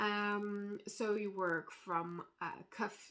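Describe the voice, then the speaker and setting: With a non-native accent, a woman speaks in a fairly high pitch and a bright, sharp tone. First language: not English. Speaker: knitting designer. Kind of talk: casual vlog chat. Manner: hesitant, many fillers.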